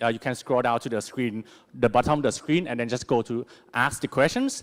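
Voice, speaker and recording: A man speaks with a Thai accent. The sound is dry and close, with no echo. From Thailand. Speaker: conference MC. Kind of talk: event hosting. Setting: stage with audience.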